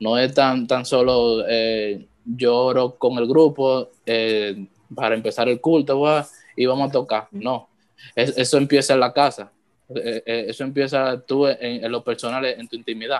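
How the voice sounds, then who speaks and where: This man talks at a fairly slow pace, his medium pitch held in fairly even intonation. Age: 20s. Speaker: church worship musician. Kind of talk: casual chat. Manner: halting.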